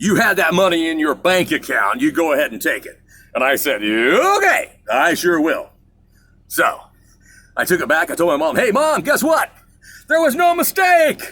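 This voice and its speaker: In a very clean recording with a silent background, a man speaks at a moderate pace in an energetic tone, taking long, frequent pauses. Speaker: show host. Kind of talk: casual monologue. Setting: riding an exercise bike while talking. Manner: energetic radio-style delivery.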